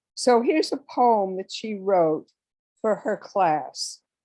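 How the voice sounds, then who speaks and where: A woman speaks very slowly at a medium pitch with lively intonation. Her tone is dark and mellow. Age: 80s+. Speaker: mediation speaker. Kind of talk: lecture.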